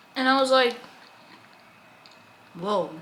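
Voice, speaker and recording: Over noticeable background noise, a woman with an American accent uses a raised, projected voice, a high pitch and lively intonation. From United States. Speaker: vlogger, college student. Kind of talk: casual chat. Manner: fast; animated.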